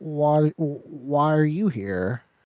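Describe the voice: A man's put-on character voice, fairly high in pitch, with a dry, close sound and no echo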